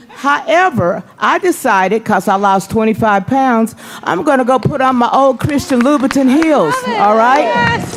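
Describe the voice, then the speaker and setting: A woman speaks in an animated tone at a high pitch, with very wide pitch swings and very even loudness. Her pace is fairly slow, she hardly pauses, and music plays in the background. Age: 60s. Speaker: event organizer. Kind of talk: casual speech to audience. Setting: stage with audience.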